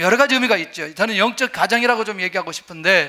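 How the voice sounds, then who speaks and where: A man speaks very fast in a raised, projected voice, his tone bright and sharp and his pitch high. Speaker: pastor. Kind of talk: sermon.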